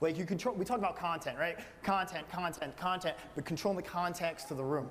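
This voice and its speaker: A man talks loudly at a very fast pace in a high voice. His tone is animated. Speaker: aquarium business owner. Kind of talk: panel discussion.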